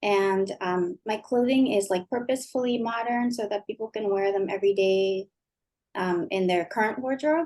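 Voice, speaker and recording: A woman's unremarkable speaking voice, fairly high in pitch, at a moderate pace with ordinary pitch variation. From Japan, then over thirty years in the US. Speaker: clothing designer. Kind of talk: interview.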